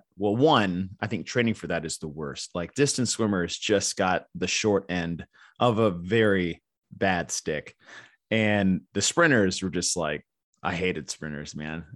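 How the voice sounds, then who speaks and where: With an American accent, a man speaks fairly slowly in a fairly low voice with a bright, sharp tone, the sound dry and close with no echo over a quiet background. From Texas. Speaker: sports event commentator and gym owner. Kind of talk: casual interview chat.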